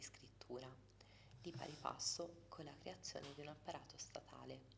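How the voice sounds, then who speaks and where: A soft-spoken woman is talking. Her pace is fairly slow. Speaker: ASMR creator. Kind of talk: ASMR book reading.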